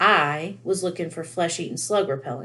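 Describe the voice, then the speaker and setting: In a put-on character voice, a woman growls in a gruff, fairly low register. Her intonation is lively and her pace moderate. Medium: read story.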